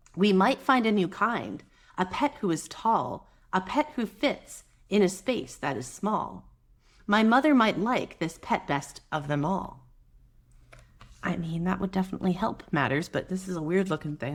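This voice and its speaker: A woman at a moderate pace, with very wide pitch swings and vocal fry. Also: medium pitch for a woman. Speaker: mother. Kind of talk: children's picture book read-aloud. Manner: soft-spoken, gentle, calm.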